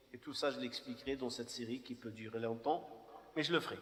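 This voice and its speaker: Background noise can be clearly heard. Through it, a man talks. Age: 50s. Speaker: imam. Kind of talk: personal testimony talk. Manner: halting.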